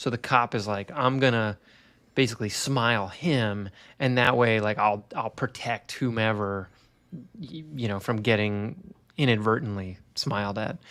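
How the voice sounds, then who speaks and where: A man with a medium-pitched voice speaks at a fairly slow pace, using a plain, everyday voice with ordinary pitch variation. The recording is very clean, with a silent background. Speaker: horror film podcast panelist. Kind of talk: casual chat.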